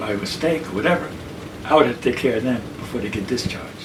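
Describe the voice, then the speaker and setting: A man with an American accent at a medium pitch and fairly quick pace, amid noticeable background noise. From New York City. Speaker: army veteran, mental health worker, artist. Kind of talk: oral history interview answer.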